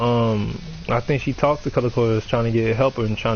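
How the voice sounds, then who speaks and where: Monotone, flat intonation comes at a fairly quick pace over noticeable background noise. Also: man. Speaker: gaming streamer. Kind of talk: casual chat.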